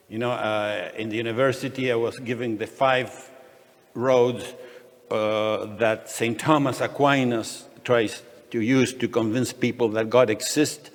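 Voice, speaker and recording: Flat, monotone delivery from a man at medium pitch, fairly slow, amid noticeable background noise. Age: 60s. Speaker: economist and freedom advocate, panel speaker. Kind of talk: conference panel talk. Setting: conference panel with audience. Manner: halting, many fillers and restarts.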